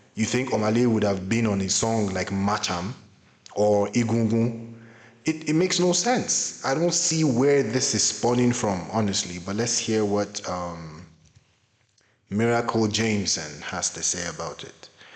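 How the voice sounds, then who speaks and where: A man speaks at a fairly slow pace with lively intonation. Room echo is audible. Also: fairly low pitch for a man. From Nigeria. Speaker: YouTuber, music commentator. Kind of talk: reaction commentary.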